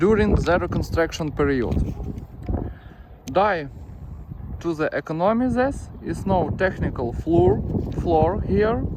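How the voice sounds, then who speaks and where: A man with a non-native accent speaks at a fairly slow pace, his high pitch making very wide swings. Long, frequent pauses break up his speech against noticeable background noise. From Ukraine. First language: Ukrainian or Russian. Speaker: roofing company founder. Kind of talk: tutorial. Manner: halting.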